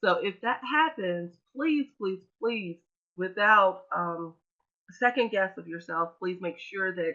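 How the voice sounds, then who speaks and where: With an American accent, a woman speaks fairly slowly. Her voice has a medium pitch and ordinary pitch variation. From US Midwest. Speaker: webinar presenter, education trainer. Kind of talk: webinar presentation. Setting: online webinar. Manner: casual, filler-heavy.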